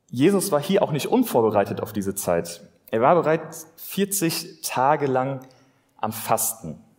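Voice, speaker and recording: A fairly high male voice with vocal fry and very wide pitch swings. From Germany, Westerwald (Rhineland-Palatinate). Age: 20s. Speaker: lay preacher. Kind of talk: sermon.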